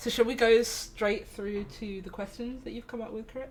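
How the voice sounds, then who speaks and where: Room echo can be heard as a woman talks at a moderate pace in a fairly high pitch. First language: not English. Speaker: livestream co-host. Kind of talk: casual chat. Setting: live stream.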